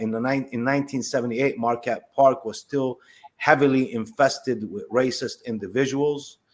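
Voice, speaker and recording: On a very clean recording with a silent background, a man speaks at a moderate pace in a medium pitch with fairly even intonation. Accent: Arabic. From Palestine, then Chicago from age 12. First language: Arabic. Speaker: former prisoner. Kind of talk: testimony. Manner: halting.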